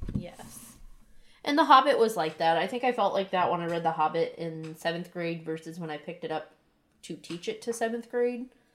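A woman speaks at a fairly quick pace. Her pitch is fairly low and her intonation lively. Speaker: podcast co-host, first-time reader. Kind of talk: casual chat book discussion. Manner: sincere-sounding.

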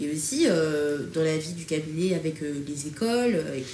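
The speech comes at a fairly slow pace, with audible room echo and noticeable background noise. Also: woman. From France, Strasbourg area suburbs. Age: 20s. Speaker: digital transformation consultant. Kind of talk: casual chat.

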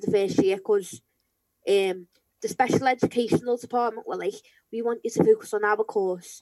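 A woman's dark, mellow tone in a Liverpool accent, fairly even intonation, dry and close with no echo. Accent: Scouse. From Merseyside, England (St Helens area). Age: 20s. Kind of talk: interview. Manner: hesitant, filler-heavy.

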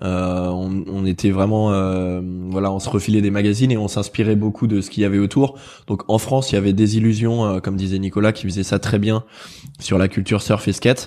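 Against a quiet background, a man speaks in a flat monotone with a dark, mellow tone at a fairly low pitch. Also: fairly quick pace. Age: 30s. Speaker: magazine co-founder. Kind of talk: casual chat.

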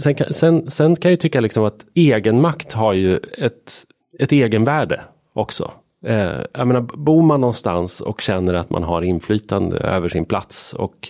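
Here a man talks at a moderate pace in a fairly low pitch. His pitch swings are very wide. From Sweden, Hälsingland. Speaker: journalist and author. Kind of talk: casual interview.

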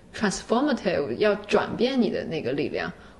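A woman with a fairly high voice talks while noticeable noise fills the background. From China. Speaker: doctoral student and freelance writer. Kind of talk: casual chat.

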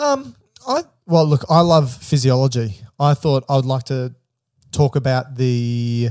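A plain, everyday voice from a man at medium pitch, fairly slow in pace, with fairly even intonation and a dry, close sound with no echo. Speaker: medical podcast host. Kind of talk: casual chat. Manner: joking.

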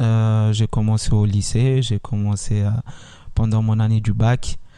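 The voice has a dark, mellow tone. It moves at a fairly slow pace. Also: man. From Italy (Milan), Congolese family. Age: 20s. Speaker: talent agency founder. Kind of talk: interview. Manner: hesitant, many fillers.

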